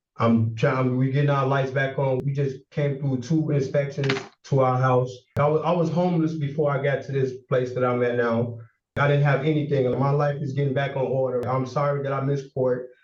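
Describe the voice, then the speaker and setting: A somewhat breathy male voice at a fairly quick pace, monotone and flat in intonation, with audible room echo. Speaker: defendant. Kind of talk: court hearing testimony. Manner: halting, repetitive.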